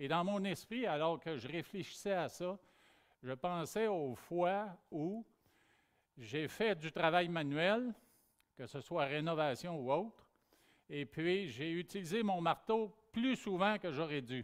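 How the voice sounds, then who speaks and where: In a very clean recording with a silent background, a man speaks very slowly at a high pitch, using lively intonation and long, frequent pauses. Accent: Quebec. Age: 60s. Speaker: pastor. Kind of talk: sermon.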